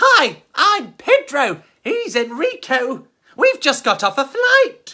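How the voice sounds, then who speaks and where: A very slow, high-pitched put-on character voice. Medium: read story. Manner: chirpy, eager.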